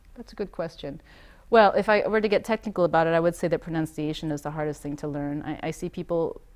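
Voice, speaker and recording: A woman talks at a very fast pace, her loudness swinging widely. The background is quiet. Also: fairly low pitch for a woman, ordinary pitch variation. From US, Maine, Taiwanese family. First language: Taiwanese. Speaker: interviewee on language learning. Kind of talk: interview answer. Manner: hesitant, with fillers and restarts.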